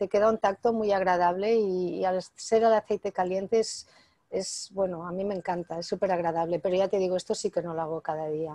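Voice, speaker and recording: Against a quiet background, a woman talks at a moderate pace and a medium pitch, with a dark, mellow tone and ordinary pitch variation. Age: 60s. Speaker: author and natural health expert; interviewee. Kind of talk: interview. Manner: hesitant with fillers. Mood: calm, friendly. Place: home room. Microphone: video call.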